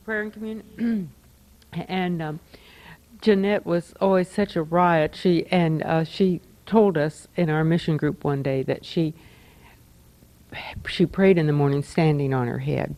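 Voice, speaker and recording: A woman's fairly low voice with ordinary pitch variation and long, frequent pauses. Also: fairly slow pace. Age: 60s. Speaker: church community member. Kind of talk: reminiscing at group gathering. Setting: group gathering after a meal. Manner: halting.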